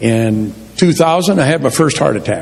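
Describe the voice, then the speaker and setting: Room echo is audible as a man talks at a fairly slow pace. There is noticeable background noise. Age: 60s. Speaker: church member sharing testimony. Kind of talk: testimony. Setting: church. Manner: casual, plain-spoken.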